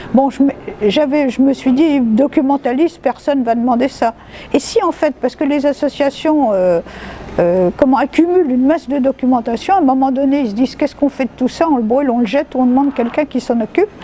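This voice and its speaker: A woman at a high pitch and a fairly quick pace, with ordinary pitch variation and very even loudness, amid noticeable background noise. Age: 70s. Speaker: retired documentalist, volunteer. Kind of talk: interview answer.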